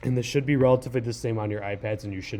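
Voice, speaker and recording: A dark, mellow tone defines this voice. There is a somewhat breathy quality to it. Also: man. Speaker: high school teacher. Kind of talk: tutorial. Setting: screen recording on a laptop. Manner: fast; hesitant, many fillers.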